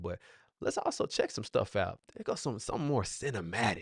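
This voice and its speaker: Against a quiet background, a man with an American accent talks very fast in an animated tone. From Texas, Fort Worth. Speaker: music producer and livestream host. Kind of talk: casual livestream talk.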